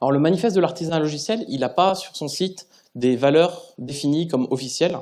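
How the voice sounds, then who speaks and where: Lively intonation and a dark, mellow tone mark this man's speech. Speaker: conference speaker, software developer. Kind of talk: conference talk. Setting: stage with audience. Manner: halting, many repetitions and fillers.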